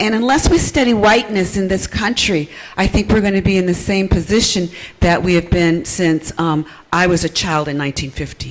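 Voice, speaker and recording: Against noticeable background noise, a woman with lively intonation speaks at a moderate pace and medium pitch. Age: 60s. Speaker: nurse midwife and audience member. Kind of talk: audience question at panel. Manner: hesitant, many fillers.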